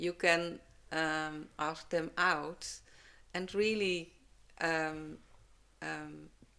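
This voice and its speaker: In a Dutch accent, a woman speaks at a very slow pace with long, frequent pauses, her very deep, low pitch held in a monotone, flat intonation with a bright, sharp tone. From Netherlands. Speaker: herbalist. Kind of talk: podcast interview answer.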